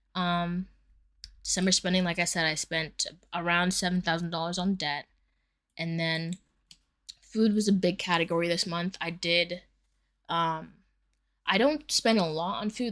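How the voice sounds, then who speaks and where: Leaving long, frequent pauses, a woman with a fairly low pitch keeps a fairly even intonation while her loudness swings widely. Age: 20s. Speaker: personal finance vlogger. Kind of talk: casual budget vlog. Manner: fast; casual with many fillers.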